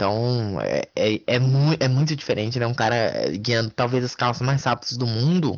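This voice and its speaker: A man speaks in an unremarkable speaking voice. His pace is moderate, with ordinary pitch variation. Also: medium pitch for a man. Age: 20s. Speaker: motorsport podcast co-host. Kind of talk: casual sports chat.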